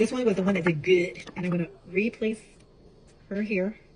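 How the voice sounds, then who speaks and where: Against noticeable background noise, a woman with a medium pitch speaks at a very fast pace. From Chicago and Puerto Rico. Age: 40s. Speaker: home baker vlogger. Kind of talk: casual vlog tutorial. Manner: talkative, chatty; hesitant, many fillers.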